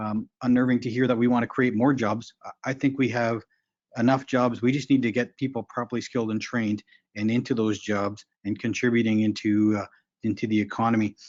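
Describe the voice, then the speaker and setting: At a fairly quick pace, a man speaks in a medium pitch with monotone, flat intonation. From Ontario, Manitoulin Island (Anishinaabe community). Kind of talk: conference presentation. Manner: fast.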